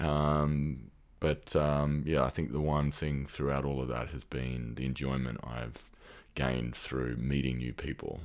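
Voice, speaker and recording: Someone with an Australian accent speaks at a fairly slow pace in a flat monotone. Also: man, very deep, low pitch for a man. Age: 30s. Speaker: researcher and former military. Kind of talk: casual interview conversation. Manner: hesitant, thoughtful, many fillers.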